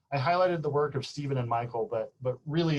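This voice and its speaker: This man talks very fast, with ordinary pitch variation. There is a somewhat breathy quality to his voice. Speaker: physics professor. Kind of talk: lecture. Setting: video call.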